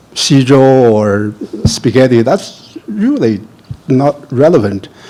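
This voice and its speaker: Over noticeable background noise, the speaker moves at a very slow pace with lively intonation. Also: man, medium pitch for a man. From China. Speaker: professor. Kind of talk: panel discussion.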